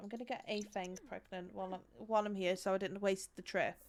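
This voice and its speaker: A woman speaks with a West Midlands accent at a moderate pace. Her pitch is medium. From West Midlands, England. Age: 20s. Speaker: game streamer. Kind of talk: casual live-stream gameplay commentary.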